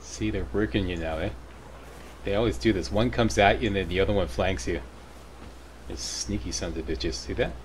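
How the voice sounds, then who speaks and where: With a very deep, low pitch and vocal fry, a man talks at a fairly quick pace with very wide pitch swings and long, frequent pauses, and room echo is audible. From Canada. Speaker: gaming YouTuber. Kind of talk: gameplay walkthrough commentary.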